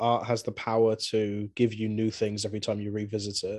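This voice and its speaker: A man talks with a southern English accent. The background is quiet. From southern England (Swindon, Wiltshire). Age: 20s. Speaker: musician and video game fan. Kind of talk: casual chat.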